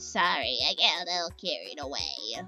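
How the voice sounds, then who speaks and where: In a put-on character voice, the speaker talks at a moderate pace while faint music plays in the background. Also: woman. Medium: solo performance.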